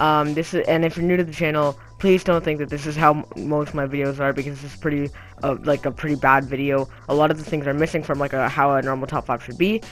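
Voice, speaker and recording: Someone talks at a very fast pace over music in the background. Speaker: gaming YouTuber. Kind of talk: casual video commentary. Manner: frequent filler words (um); casual, halting. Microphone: low quality recording.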